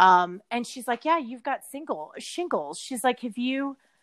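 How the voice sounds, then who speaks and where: On a very clean recording with a silent background, a woman with an American accent speaks at a moderate pace and a fairly high pitch. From Texas. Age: 40s. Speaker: hospitality entrepreneur. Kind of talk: casual interview chat.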